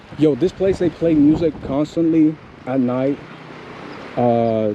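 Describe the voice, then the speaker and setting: Over noticeable background noise, a man with a fairly high pitch speaks at a very slow pace, with ordinary pitch variation and very even loudness. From Cuba, Camagüey. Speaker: vlogger. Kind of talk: casual chat. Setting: outdoors.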